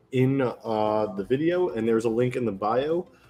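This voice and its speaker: Over music in the background, a man speaks at a moderate pace in a medium pitch. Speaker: gaming podcast host. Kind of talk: casual chat. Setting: live stream podcast.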